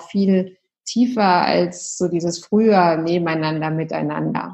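A woman's very slow, fairly low-pitched speech with fairly even intonation, over a quiet background. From Munich, Bavaria, Germany. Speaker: yoga and meditation teacher, former lawyer. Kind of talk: casual interview.

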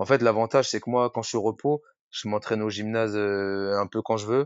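A man's fairly low voice at a fairly quick pace. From France, Rennes (Brittany). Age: 30s. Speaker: firefighter and CrossFit athlete. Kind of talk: casual interview chat. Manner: hesitant, many fillers.

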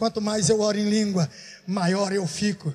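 Noticeable background noise sits behind a man speaking with a high pitch. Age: 60s. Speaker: pastor. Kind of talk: sermon. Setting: church.

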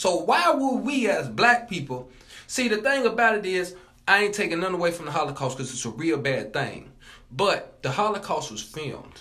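A man speaks at a moderate pace in a raised, projected voice. His pitch is high and swings very widely, with a bright, sharp tone. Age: 20s. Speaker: college student. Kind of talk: casual chat.

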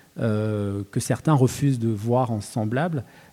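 This man speaks at a medium pitch in a dark, mellow tone, keeping his intonation fairly even. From Cameroon (Douala). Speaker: poet and novelist. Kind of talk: panel talk at a literary festival. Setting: stage with live audience. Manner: halting, frequent word repetitions.

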